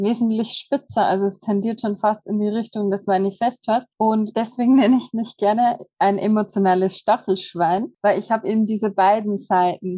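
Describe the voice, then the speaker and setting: An unremarkable speaking voice, this woman's fairly high pitch follows a fairly even intonation at a moderate pace with hardly any pauses. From Bavarian Forest, Germany. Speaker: hotel manager and human design practitioner. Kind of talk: casual interview.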